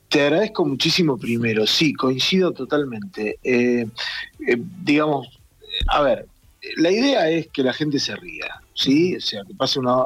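A man talks fairly slowly with lively intonation while music plays in the background. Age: 50s. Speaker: theatre director and actor. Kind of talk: interview.

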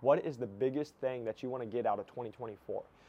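A man's medium-pitched voice with an energetic, enthusiastic tone. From US Midwest, rural Iowa. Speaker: medical device sales coach and podcaster. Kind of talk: motivational monologue.

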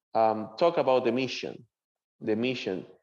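A man of medium pitch speaks with a Venezuelan accent. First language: Spanish. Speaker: seminarian. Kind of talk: interview.

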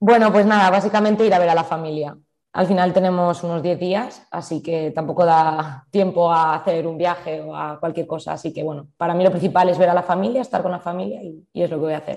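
With a plain, everyday voice, a woman speaks at a fairly quick pace and a fairly low pitch, hardly pausing and using ordinary pitch variation. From Spain, Zaragoza. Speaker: futsal player. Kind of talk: interview.

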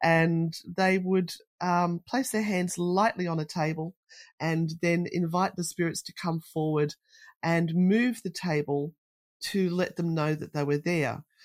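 A woman's fairly low voice in an Australian accent, fairly slow and fairly even in intonation, dry and close with no echo on a very clean recording with a silent background. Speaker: paranormal investigator. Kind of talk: casual interview chat.

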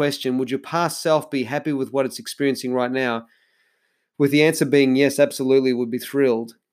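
In a very clean recording with a silent background, a man with an Australian accent talks at a fairly high pitch. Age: 40s. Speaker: podcast host, life coach. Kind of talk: solo podcast monologue.

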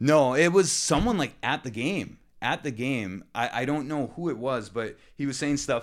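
This man has a plain, everyday voice with a fairly high pitch and ordinary pitch variation, speaking at a moderate pace with hardly any pauses. The recording is very clean, with a silent background. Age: 20s. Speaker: podcast co-host, financial analyst. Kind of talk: casual chat.

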